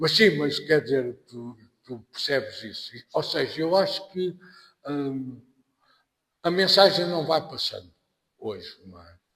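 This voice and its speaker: Speaking very slowly with long, frequent pauses, a man with a European Portuguese accent has a fairly high pitch, ordinary pitch variation and big swings in loudness. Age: 60s. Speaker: anthropology professor. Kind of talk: podcast interview. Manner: halting.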